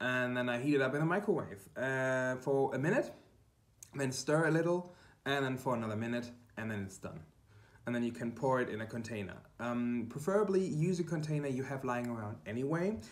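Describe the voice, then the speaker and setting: With a German accent, a man at medium pitch talks at a fairly quick pace with lively intonation, and the room echo is audible. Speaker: quilting YouTuber. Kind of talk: tutorial. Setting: kitchen. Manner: halting, many fillers. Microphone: poor room acoustics.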